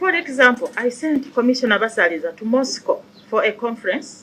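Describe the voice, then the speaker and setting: A woman speaks at a high pitch with lively intonation. Her pace is moderate. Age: 60s. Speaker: human rights commission chairperson. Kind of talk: testimony before parliamentary committee. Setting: parliamentary committee hearing. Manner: formal.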